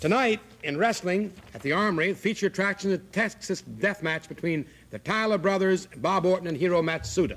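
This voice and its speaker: Fairly quick and high-pitched, a man delivers his lines. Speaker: sports anchor. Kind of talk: local TV sports report, casual broadcast patter with sponsor shout-outs. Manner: relaxed, folksy, hesitant with fillers. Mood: folksy, relaxed. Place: studio. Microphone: studio mic.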